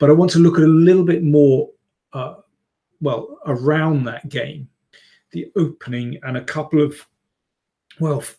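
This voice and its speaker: A man speaks in a somewhat breathy voice. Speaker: chess commentator. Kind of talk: live stream chat. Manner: hesitant, many fillers.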